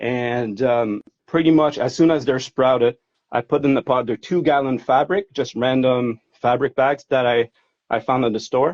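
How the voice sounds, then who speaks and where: A man with a slight French Canadian accent talks at a moderate pace, his pitch medium and its variation ordinary. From Quebec, Montreal. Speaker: hobby grower. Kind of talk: casual interview. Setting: Instagram live video stream.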